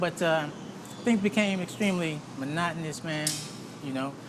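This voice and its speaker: At a moderate pace, a speaker with an American accent talks while noticeable background noise continues. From US South. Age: 60s. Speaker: retired military veteran. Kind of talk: interview. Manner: casual, many fillers.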